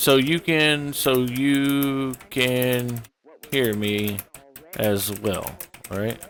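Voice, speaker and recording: A man at a very slow pace, with ordinary pitch variation and long, frequent pauses. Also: medium pitch for a man. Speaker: gaming streamer. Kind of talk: casual chat. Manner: loud.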